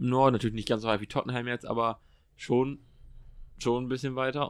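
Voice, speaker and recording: The man's pitch sits in the medium range. His intonation is monotone and flat. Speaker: podcast host. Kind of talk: casual chat.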